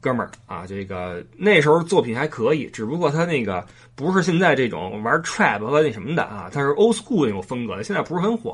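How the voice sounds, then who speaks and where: Here a man speaks at medium pitch with very wide pitch swings. His pace is fairly quick. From Beijing. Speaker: podcast host. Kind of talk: casual monologue.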